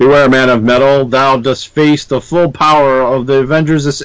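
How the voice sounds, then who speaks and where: Here a man performs a put-on character voice. His pitch is medium and his pace moderate. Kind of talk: archaic. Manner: grandiose, archaic, heroic.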